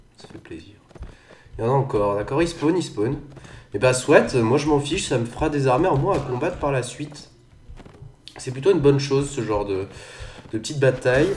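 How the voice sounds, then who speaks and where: Over music in the background and audible room echo, a man speaks at a fairly quick pace with a fairly high pitch and ordinary pitch variation. His loudness swings widely, and he leaves long, frequent pauses. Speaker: gaming youtuber. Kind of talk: let's play commentary. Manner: casual, hesitant with fillers.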